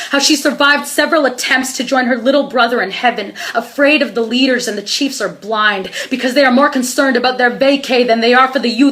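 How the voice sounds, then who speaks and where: The tone is intense and the pace fairly quick, with hardly any pauses. Noticeable background noise runs underneath. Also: woman. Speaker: spoken word poet, activist. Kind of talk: spoken word poetry performance. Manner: emotional, intense.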